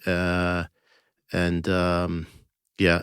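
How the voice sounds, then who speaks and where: This man, with an American accent, has a very deep, low pitch, captured on a very clean recording with a silent background. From United States. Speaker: bookseller and author. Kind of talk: interview. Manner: halting.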